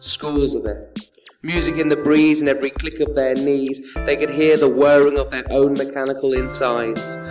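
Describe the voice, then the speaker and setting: A man's fairly high pitch and monotone, flat intonation at a moderate pace, with music in the background. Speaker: spoken word poet. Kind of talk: spoken word poetry performance.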